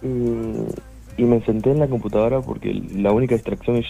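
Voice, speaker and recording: Over music in the background, a man talks at a very fast pace. His pitch is medium, with ordinary pitch variation. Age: 20s. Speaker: musician. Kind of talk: interview.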